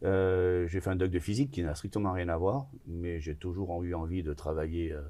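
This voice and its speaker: A man's very deep, low voice, dark and mellow, at a fairly slow pace with fairly even intonation, in a very clean recording with a silent background. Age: 60s. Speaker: business owner in construction. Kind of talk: interview conversation. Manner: hesitant, many filler sounds.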